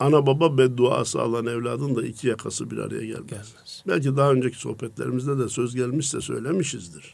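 A man at medium pitch with vocal fry, ordinary pitch variation, a fairly quick pace and hardly any pauses. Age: 60s. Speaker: preacher. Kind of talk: religious radio talk.

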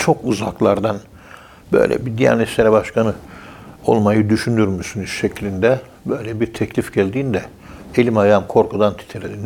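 Here a man has a normal speaking voice and a moderate pace. His intonation stays fairly even. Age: 60s. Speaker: professor of Sufism. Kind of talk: religious talk on radio.

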